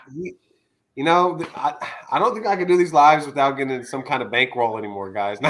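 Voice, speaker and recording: A man's fairly high voice races along at a very fast pace with lively intonation. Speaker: detailing livestream co-host. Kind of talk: casual chat.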